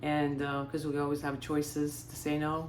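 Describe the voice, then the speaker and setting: A woman's very deep, low pitch at a moderate pace, with audible room echo. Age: 60s. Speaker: lifestyle vlogger. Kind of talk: casual monologue. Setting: beach house.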